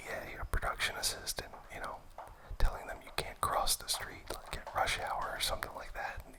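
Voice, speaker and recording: Whispering at a moderate pace comes through noticeable background noise. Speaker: film enthusiast ASMR host. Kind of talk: whispered ASMR movie ramble. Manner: whispered.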